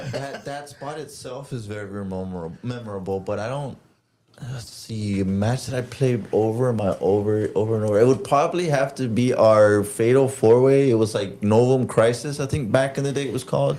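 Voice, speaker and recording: A man talks in a normal speaking voice with an American accent and a medium pitch. His pace is fairly quick, with ordinary pitch variation and big swings in loudness. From Texas, Rio Grande Valley. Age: 30s. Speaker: professional wrestler. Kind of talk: casual chat.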